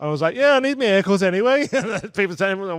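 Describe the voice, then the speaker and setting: With lively intonation, a man talks very fast in a high voice. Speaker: stand-up comedian. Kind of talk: casual chat.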